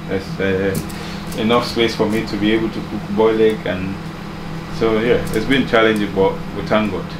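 The man talks at a moderate pace while noticeable background noise carries on. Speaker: home vlogger. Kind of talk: casual vlog chat. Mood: relaxed, grateful, smiling. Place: kitchen. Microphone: phone near.

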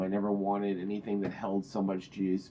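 There is a plain, everyday voice at a fairly quick pace, with light background noise. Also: man. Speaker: product reviewer. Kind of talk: casual product review vlog. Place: home room. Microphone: webcam.

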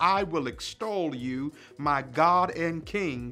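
A man speaks at a very slow pace. Faint music plays in the background. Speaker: senior pastor. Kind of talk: worship welcome and announcements. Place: office.

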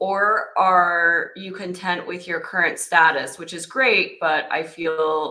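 Over a quiet background, a woman speaks with a fairly low pitch and fairly even intonation. Her tone is bright and sharp. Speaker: host's wife reading listener questions. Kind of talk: reading aloud.

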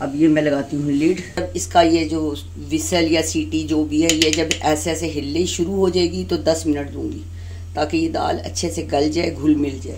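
A woman's low-pitched voice at a moderate pace, with few pauses, fairly even intonation and clear background noise.

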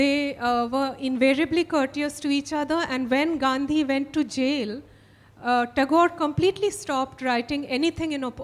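A woman speaks in a high voice. Her pitch variation is ordinary. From India. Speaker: novelist; author on a panel. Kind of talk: literary festival conversation. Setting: stage with audience. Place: stage. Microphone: handheld.

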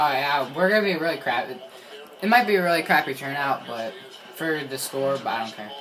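Very fast and full of lively intonation, a man talks over noticeable background noise. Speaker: gamer filming own play. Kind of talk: casual gameplay commentary. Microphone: phone near.

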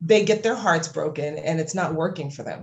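With an American accent, a woman speaks in a somewhat breathy voice with ordinary pitch variation. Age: 40s. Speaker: music marketing coach. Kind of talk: casual interview chat. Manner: hesitant, many fillers.

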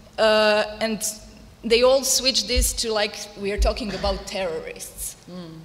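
At a fairly slow pace, a woman with a Croatian accent speaks with a fairly high pitch and ordinary pitch variation. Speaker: activist and volunteer; panelist. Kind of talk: panel discussion. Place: hall. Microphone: podium.

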